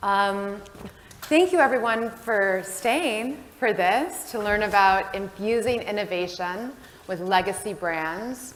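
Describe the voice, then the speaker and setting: Audible room echo surrounds a woman speaking very slowly at a medium pitch with ordinary pitch variation. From United States. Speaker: panel moderator. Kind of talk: panel discussion moderation. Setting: stage with audience. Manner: loud.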